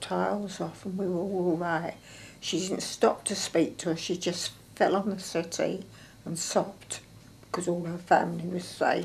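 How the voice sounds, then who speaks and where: Flat and monotone, a woman speaks at a moderate pace with a fairly low pitch and vocal fry. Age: 80s+. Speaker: World War Two home front witness. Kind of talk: interview answer.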